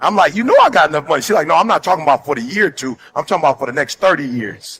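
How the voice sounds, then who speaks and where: With music in the background, a man with an American accent talks very fast in a fairly high-pitched voice, the sound dry and close with no echo. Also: lively intonation. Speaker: motivational speaker. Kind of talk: motivational speech. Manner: passionate, fervent.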